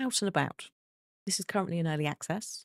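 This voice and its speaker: A soft-spoken woman talks at a fairly low pitch with ordinary pitch variation. The sound is dry and close with no echo, on a very clean recording with a silent background. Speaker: streamer. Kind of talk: gaming live stream. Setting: at home. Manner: soft-spoken, quiet.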